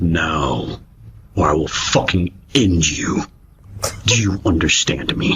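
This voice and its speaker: A man uses a put-on character voice that is raspy and very deep in pitch. He talks at a fairly slow pace with long, frequent pauses. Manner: menacing, threatening.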